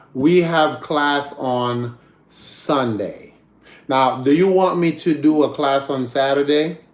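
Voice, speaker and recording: Amid noticeable background noise, a man speaks very slowly with fairly even intonation and a fairly high pitch. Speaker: English teacher. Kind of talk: online class. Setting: video call.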